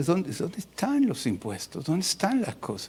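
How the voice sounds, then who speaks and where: Speaking at a fairly slow pace, a man uses a high-pitched voice with very wide pitch swings. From Mexico City. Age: 60s. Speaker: pastor. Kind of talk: sermon.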